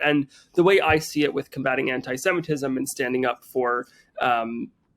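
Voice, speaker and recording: A man speaks with a New Jersey accent. His fairly high pitch has ordinary variation. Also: dry, close sound with no echo. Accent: American, New Jersey. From US Northeast, Teaneck New Jersey. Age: 20s. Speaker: chef and social media creator. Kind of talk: podcast interview. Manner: casual with many fillers and repetitions.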